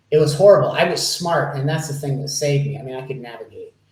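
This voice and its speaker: A man's fairly high, somewhat breathy voice carries audible room echo. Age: 60s. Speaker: life coach. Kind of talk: interview.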